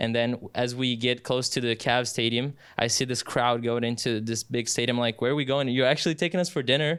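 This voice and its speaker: A man with a Brazilian Portuguese accent talks fairly quickly at a medium pitch, with hardly any pauses and very even loudness. The recording is very clean, with a silent background. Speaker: sports announcer. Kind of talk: casual interview. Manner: halting, many fillers; animated.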